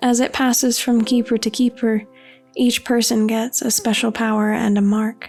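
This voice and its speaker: With music in the background, a woman speaks at a moderate pace in a fairly high, monotone voice with flat intonation. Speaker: digital artist, writer. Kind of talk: ASMR-style soft-spoken talk over drawing video. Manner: calm, soothing, soft-spoken.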